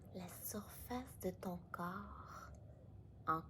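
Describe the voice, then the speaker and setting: A woman is speaking. Her pace is very slow. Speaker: meditation guide. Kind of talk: guided meditation. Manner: slow, soft-spoken.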